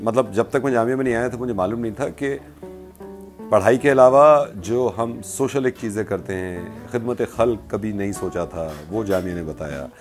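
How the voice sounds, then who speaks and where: With clear music behind him, a man talks at a fairly slow pace. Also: ordinary pitch variation. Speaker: radio jockey. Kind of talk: interview answer, casual talk about alma mater. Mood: warm, earnest. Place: home room. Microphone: lapel.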